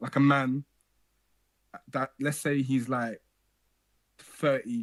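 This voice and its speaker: A man speaks at a medium pitch with a Birmingham accent. His fairly slow delivery sounds dry and close, with no echo. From Birmingham, England. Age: young. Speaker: call-in show host. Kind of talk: casual call-in chat.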